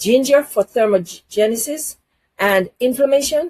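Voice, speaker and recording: Using an ordinary speaking voice, a woman talks fairly slowly, her intonation lively. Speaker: health channel host. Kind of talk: health advice talk to camera.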